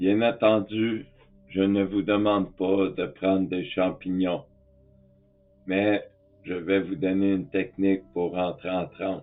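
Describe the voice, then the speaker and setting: A man speaks at a very slow pace, with a fairly low pitch and fairly even intonation. Long, frequent pauses break up his speech, and music plays in the background. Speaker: spiritual teacher. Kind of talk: tutorial. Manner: calm.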